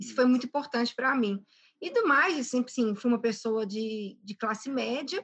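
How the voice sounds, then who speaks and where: A woman's high-pitched voice. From Brazil, Belo Horizonte (Minas Gerais). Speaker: entrepreneur and airline pilot. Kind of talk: interview.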